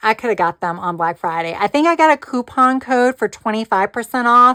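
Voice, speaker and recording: On a very clean recording with a silent background, a woman speaks at a moderate pace and fairly high pitch, her tone bright and sharp and her intonation lively. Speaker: planner and crafting YouTuber. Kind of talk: casual product chat. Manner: casual with fillers.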